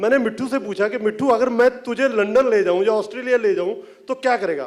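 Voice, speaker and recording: Over noticeable background noise, a man with an extremely high pitch speaks at a moderate pace with ordinary pitch variation. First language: Punjabi (speaking Hindi). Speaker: film writer and director. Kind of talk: press event talk. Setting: stage with audience.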